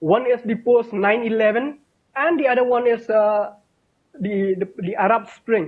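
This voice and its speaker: An extremely high-pitched man at a fairly slow pace against a quiet background. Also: ordinary pitch variation. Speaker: academic in European studies; panelist. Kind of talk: panel discussion. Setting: video call. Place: home room. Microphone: video call.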